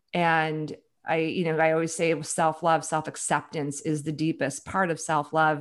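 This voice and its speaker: A woman with an American accent and an unremarkable speaking voice talks fairly slowly at a fairly low pitch, in a very clean recording with a silent background. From US Midwest, Chicago. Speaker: author and leadership advisor. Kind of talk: interview.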